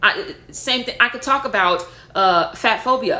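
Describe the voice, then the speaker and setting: In a loud, animated voice with a bright, sharp tone and ordinary pitch variation, a woman speaks amid audible room echo. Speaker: spiritual content creator. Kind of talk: rant to camera.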